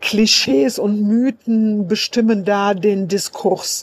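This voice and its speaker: Recorded with a dry, close sound and no echo, a woman speaks at medium pitch in a dark, mellow tone. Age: 50s. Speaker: sex worker and association chair. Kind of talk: voice message statement.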